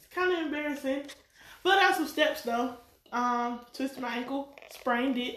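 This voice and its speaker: A woman with a Southern US accent speaks at a moderate pace and a high pitch, with ordinary pitch variation and big swings in loudness. Noticeable background noise runs under her voice. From North Carolina. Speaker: guest and school coworker. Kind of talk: casual chat.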